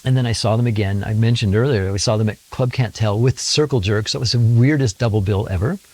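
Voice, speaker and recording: A man talks very fast with hardly any pauses, at a medium pitch with ordinary pitch variation, in an animated, somewhat breathy tone on a very clean recording with a silent background. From Sacramento, California. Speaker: musician. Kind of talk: interview storytelling. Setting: home studio.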